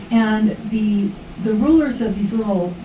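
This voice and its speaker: A woman is heard with audible room echo. There is noticeable background noise as well. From Hawaii. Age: 70s. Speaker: yoga instructor. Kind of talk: interview. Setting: radio studio. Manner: casual, animated.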